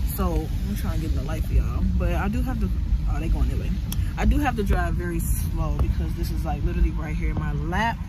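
Over loud background noise, a woman talks at a fairly quick pace with ordinary pitch variation, the sound dry with no echo. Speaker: warehouse worker vlogger. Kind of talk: casual vlog chat. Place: car. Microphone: phone near.

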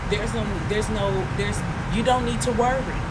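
Loud background noise sits behind a woman as she speaks. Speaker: tarot reader. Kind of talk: casual tarot reading chat. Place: street. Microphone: phone near.

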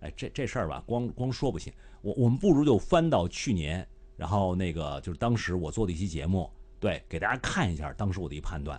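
With a Beijing accent, a man with a very deep, low voice speaks at a fairly quick pace and with lively intonation. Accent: Beijing Mandarin. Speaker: live streamer. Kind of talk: casual live-stream commentary. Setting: live stream. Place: home room. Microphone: studio mic.

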